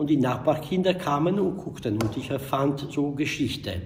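A man speaks at a moderate pace with very wide pitch swings, light background noise behind him. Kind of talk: interview answer. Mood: reflective, nostalgic. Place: hall. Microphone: studio mic.

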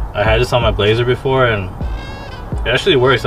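A man at a fairly quick pace over faint music in the background. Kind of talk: casual vlog chat. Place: street. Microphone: phone near.

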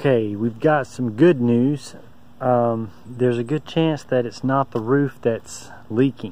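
At a very slow pace, a man speaks in a dark, mellow tone with fairly even intonation, the sound dry with no echo. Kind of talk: casual vlog chat. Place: open country. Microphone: phone near.

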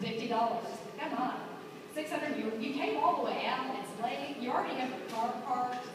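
A woman talks at a fairly quick pace in a high voice with ordinary pitch variation, against noticeable background noise and strong room echo. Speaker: auctioneer. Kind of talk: live auction bid calling. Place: hall. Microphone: camera far.

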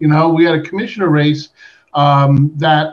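Somewhat breathy male speech at a moderate pace. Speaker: panelist. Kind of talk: panel discussion answer. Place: home room. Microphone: video call.

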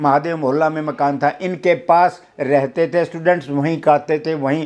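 At a very slow pace, a man speaks with fairly even intonation and a fairly high pitch. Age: 70s. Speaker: retired university cultural director and comic film actor; former student recalling his teacher. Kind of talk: reminiscing interview. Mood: reverent, earnest. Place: home room.

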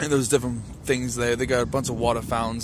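Over noticeable background noise, a speaker with an American accent uses fairly even intonation in a dry sound with no echo. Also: man. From southwestern Pennsylvania. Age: 20s. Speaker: vlogger. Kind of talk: casual vlog talk to camera. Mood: tired but friendly. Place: street. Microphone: phone near.

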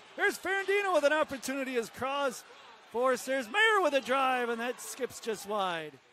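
A man uses a raised, projected voice at an extremely high pitch, swinging very widely up and down at a moderate pace. The sound is dry with no echo, with light background noise. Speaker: play-by-play announcer. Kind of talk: hockey play-by-play commentary. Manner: clipped, staccato name-and-action phrasing. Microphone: headset.

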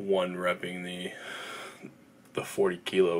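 A man speaks in a very deep, low voice with monotone, flat intonation over light background noise. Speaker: fitness vlogger. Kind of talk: casual vlog chat. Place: home room. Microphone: phone near.

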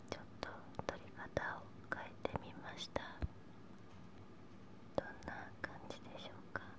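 Fairly slow speech broken by long, frequent pauses, set against loud background noise. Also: woman. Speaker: ASMR performer. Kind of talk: ASMR word repetition. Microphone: studio mic.

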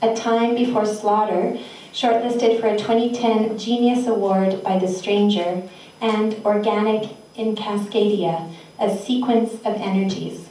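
Flat, monotone intonation runs at a fairly slow pace, with room echo clearly audible. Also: woman, fairly high pitch for a woman, very even loudness. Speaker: festival organizer and host. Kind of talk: event welcome and introductions. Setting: live venue with audience. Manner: warm, playful, laughing. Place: hall.

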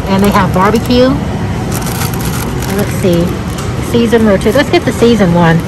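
Loud background noise and a dry sound with no echo. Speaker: shopping vlogger. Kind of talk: casual vlog chat. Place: shop. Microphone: phone near.

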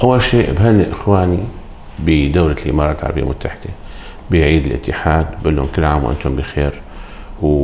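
With a Syrian accent, the speaker goes at a fairly quick pace with ordinary pitch variation over light background noise. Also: man, very deep, low pitch for a man. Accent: Syrian Levantine Arabic. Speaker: pediatric dentist. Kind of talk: interview. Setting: dental clinic. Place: office.

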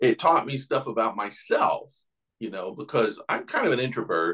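Here a man talks with a Southern US accent. The background is quiet. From Knoxville, Tennessee. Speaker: artist and podcaster. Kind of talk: interview answer. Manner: casual, conversational. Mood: amused, storytelling. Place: home room. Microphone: video call.

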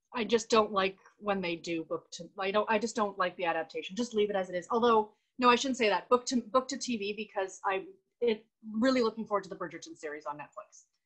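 With a Canadian accent, a woman talks at a very fast pace and a fairly high pitch against a quiet background. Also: ordinary pitch variation. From Canada. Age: 40s. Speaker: book YouTuber. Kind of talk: casual chat. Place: home room. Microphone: video call.

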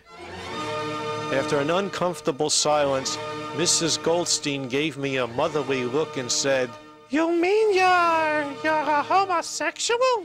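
Music plays in the background as a man talks at a very slow pace. His loudness stays very even. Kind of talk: first-person narration of animated short film.

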